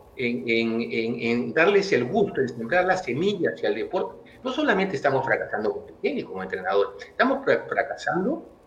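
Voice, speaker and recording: A man speaks at a moderate pace with hardly any pauses, his loudness swinging widely against noticeable background noise. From Peru. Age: 60s. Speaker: tennis coach. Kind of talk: interview.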